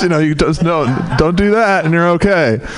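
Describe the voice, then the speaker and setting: A man is speaking. Background noise is noticeable throughout. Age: 40s. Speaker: comedian. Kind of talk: stand-up. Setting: stage with audience. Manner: halting.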